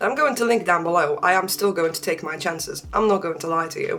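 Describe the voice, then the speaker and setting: The speaker has a slight Polish accent and a very fast pace. Noticeable background noise runs underneath. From Poland. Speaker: beauty and art vlogger. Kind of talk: casual chat.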